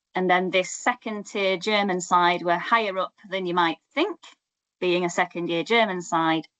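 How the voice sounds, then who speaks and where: A Yorkshire accent comes through at a moderate pace with a bright, sharp tone. The sound is dry and close, with no echo. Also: woman. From Yorkshire, northern England. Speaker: academic researcher. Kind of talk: academic seminar presentation. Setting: online seminar. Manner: conversational, with frequent fillers and restarts.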